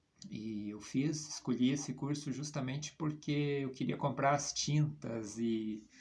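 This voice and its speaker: A man's voice sits at a medium pitch. It rises and falls in an ordinary way. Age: 50s. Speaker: comic book artist. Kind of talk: personal portfolio presentation. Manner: hesitant, many fillers.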